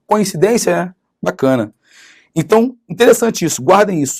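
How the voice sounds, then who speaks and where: Using very wide pitch swings, a man speaks in an animated tone. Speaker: law teacher. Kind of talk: lecture.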